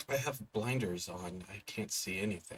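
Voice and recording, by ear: Whispering in a raspy put-on character voice, a man goes at a moderate pace.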